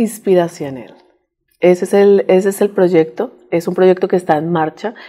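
Fairly even in intonation, a woman's voice sits at a fairly low pitch with a dark, mellow tone. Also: quiet background. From Colombia, Bogotá. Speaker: women's group leader and immigrant; interview guest. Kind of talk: interview. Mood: warm, inspirational. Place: studio. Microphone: lapel.

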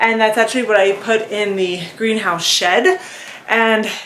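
A woman speaks at a moderate pace. Audible room echo and light background noise surround her voice. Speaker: garden vlogger. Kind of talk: casual vlog chat. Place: garden.

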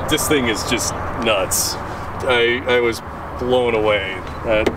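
Loud background noise fills the dry, echo-free sound. The speech comes at a very slow pace. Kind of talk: casual chat showing off his car. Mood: enthusiastic, proud. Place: street. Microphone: camera far.

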